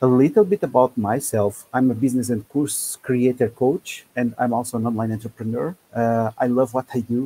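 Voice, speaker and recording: A man with a non-native accent talks at a moderate pace with fairly even intonation in a dry, close sound with no echo. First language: not English. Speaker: business and course creator coach. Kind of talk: webinar presentation. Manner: halting, many fillers.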